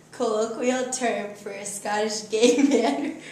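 A woman's fairly high-pitched voice with audible room echo. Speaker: game player reading definitions. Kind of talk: reading definitions aloud in a family word game. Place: home room. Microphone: camera far.

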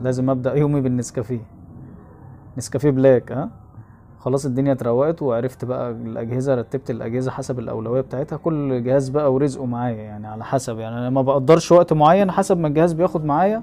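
Over light background noise, a man talks at a fairly quick pace in a dark, mellow tone with ordinary pitch variation. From Egypt, Zagazig; Egypt. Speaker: phone repair technician and YouTuber; YouTuber. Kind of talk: vlog narration. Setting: repair shop workroom. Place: workshop. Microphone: phone near.

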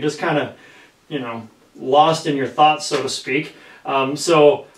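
Audible room echo colors a man's voice as he talks at a moderate pace. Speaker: podcast host. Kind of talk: podcast introduction. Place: studio.

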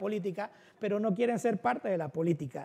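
Ordinary pitch variation marks a man's speech at a fairly quick pace. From Panama City, Río Abajo; Panama. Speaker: political candidate; candidate. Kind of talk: casual cooking show interview. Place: studio. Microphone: lapel.

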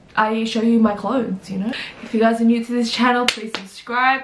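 A woman is heard with audible room echo. Light background noise sits behind her voice. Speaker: fashion vlogger. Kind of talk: casual vlog chat. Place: home room. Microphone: camera far.

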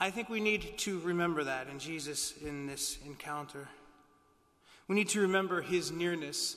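The man's tone is solemn and gentle. His pitch is high, with ordinary pitch variation. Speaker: priest. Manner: formal, solemn, gentle. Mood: calm, reassuring. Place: church.

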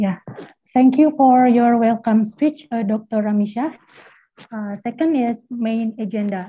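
A woman's fairly high voice with ordinary pitch variation at a fairly slow pace. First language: Indonesian. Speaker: master of ceremony; event host, moderator. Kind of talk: formal event hosting. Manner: formal. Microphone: video call.

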